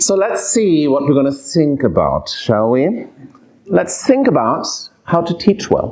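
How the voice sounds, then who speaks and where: Speaking fairly slowly with a German accent, a man's high pitch swings very widely amid audible room echo. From Germany. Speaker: professor of pediatric palliative care. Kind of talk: lecture. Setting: lecture hall with audience.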